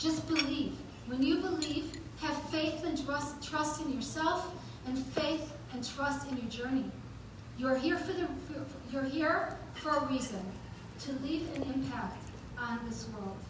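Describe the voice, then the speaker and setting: With noticeable background noise and audible room echo, a woman speaks at a high pitch and a fairly slow pace, using ordinary pitch variation and taking long, frequent pauses. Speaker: event host and motivational speaker. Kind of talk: motivational talk. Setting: stage with audience. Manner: animated; halting.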